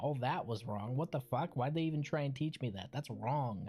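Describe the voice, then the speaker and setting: Somewhat breathy and dark, mellow in tone, a man at medium pitch speaks at a fairly quick pace with ordinary pitch variation. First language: Spanish. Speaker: video game streamer. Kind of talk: casual livestream gameplay chat.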